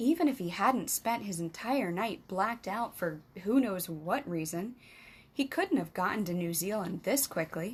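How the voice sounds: Lively intonation runs through a natural reading voice.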